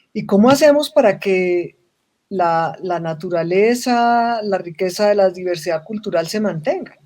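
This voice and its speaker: With lively intonation, a woman speaks at a fairly slow pace in a medium pitch and a dark, mellow tone. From Colombia. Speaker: social business expert. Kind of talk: panel conversation.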